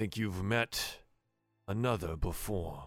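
Using a raspy, put-on character voice, a man talks at a fairly low pitch and a fairly slow pace. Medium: actual play. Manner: evasive, smooth, secretive.

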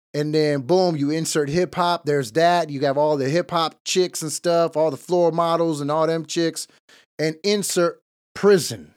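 A man with an American accent and an unremarkable speaking voice, fairly high-pitched, with fairly even intonation at a moderate pace, in a very clean recording against a silent background. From East Los Angeles, California. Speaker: podcast host, formerly incarcerated. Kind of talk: casual chat with ministry talk. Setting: studio.

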